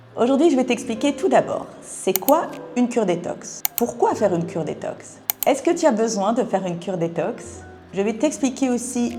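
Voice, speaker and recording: A woman's fairly high voice with very wide pitch swings at a fairly slow pace, with music in the background. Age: 50s. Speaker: wellness product seller. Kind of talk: sales pitch.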